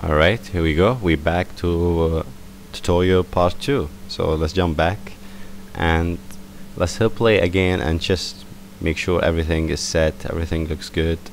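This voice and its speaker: Over noticeable background noise, a man with a non-native accent speaks at a moderate pace in a very deep, low pitch, his intonation fairly even and broken by long, frequent pauses. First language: not English. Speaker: software tutorial maker. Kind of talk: tutorial. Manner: casual, hesitant with fillers.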